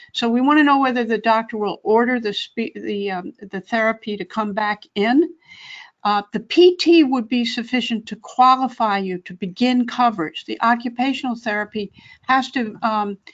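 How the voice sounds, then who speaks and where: With an unremarkable speaking voice, a woman talks at a moderate pace with a fairly high pitch and ordinary pitch variation. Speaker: Medicare advocacy expert. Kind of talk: webinar Q&A advice. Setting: webinar.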